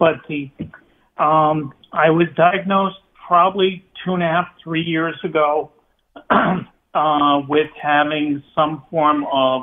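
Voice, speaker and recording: A woman speaks at a very slow pace. Her pitch sits very deep and low. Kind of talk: interview answer. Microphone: phone line.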